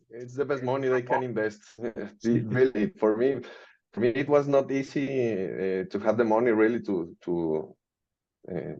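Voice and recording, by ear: A man speaks at a moderate pace with a slightly mellow tone.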